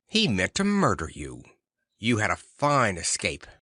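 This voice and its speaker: Against a quiet background, a man puts on a growling character voice, fairly low in pitch and delivered at a moderate pace. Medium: read story. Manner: measured, grave.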